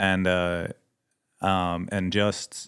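A man's very deep, low pitch in a Swedish accent, with monotone, flat intonation, on a very clean recording with a silent background. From Sweden. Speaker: missionary pilot and mechanic. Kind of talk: casual interview chat.

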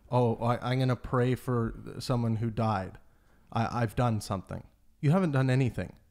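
With a Canadian accent and an unremarkable speaking voice, a man speaks at a moderate pace and medium pitch with ordinary pitch variation and very even loudness, on a very clean recording with a silent background. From Canada. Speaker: podcast host. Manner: casual.

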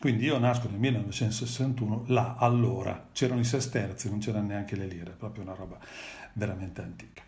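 A somewhat breathy man speaks with fairly even intonation but big swings in loudness. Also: medium pitch for a man, moderate pace. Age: 50s. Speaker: father of the host, guest speaker. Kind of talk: live stream interview, personal testimony.

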